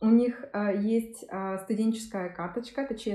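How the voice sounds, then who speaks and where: A woman speaks in a somewhat breathy, fairly high voice with a dark, mellow tone. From Yakutia, Russia. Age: 30s. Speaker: law master's student, former journalist. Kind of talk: interview. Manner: hesitant, with filler sounds.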